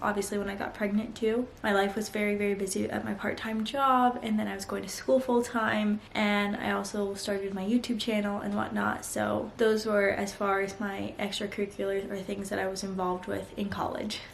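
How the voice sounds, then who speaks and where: A woman with an American accent, medium pitch and monotone, flat intonation at a fairly quick pace, with audible room echo and noticeable background noise. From mixed upbringing: US, Vietnam, India, Mexico. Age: 20s. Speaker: vlogger. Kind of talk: casual chat.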